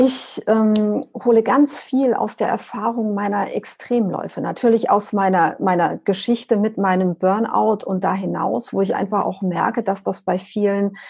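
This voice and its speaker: Somewhat breathy and fairly slow, a woman talks with ordinary pitch variation against a quiet background. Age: 40s. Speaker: business coach and extreme runner. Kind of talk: interview.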